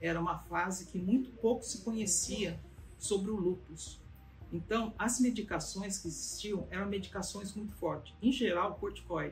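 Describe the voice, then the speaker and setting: Music plays in the background while a woman talks at a moderate pace, her voice carrying audible room echo. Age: 70s. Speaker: patient giving testimonial. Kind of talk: testimony. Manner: halting, with many fillers.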